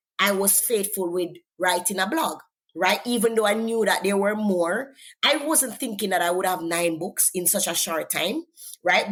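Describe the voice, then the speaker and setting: A woman with a Jamaican accent, medium pitch, ordinary pitch variation and a moderate pace. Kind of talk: interview testimony.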